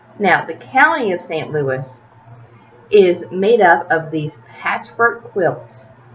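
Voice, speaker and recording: Noticeable background noise surrounds a woman with a Tennessee accent. She talks at a very slow pace, with very wide pitch swings. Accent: Southern US (Tennessee). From US South, Tennessee (Smyrna, near Nashville). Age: 30s. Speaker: video blogger. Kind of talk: casual rant to camera.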